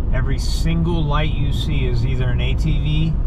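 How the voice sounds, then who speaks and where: A man at a very slow pace, amid loud background noise. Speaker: travel vlogger. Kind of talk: casual vlog chat. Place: car. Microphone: phone near.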